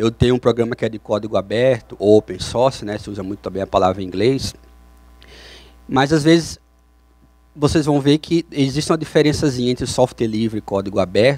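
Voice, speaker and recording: At a fairly quick pace, a man with a Brazilian accent speaks at a medium pitch with ordinary pitch variation. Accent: non-Curitiba Brazilian. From Brazil, not Curitiba. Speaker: software developer, conference speaker. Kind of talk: conference talk. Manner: hesitant, with repetitions and fillers.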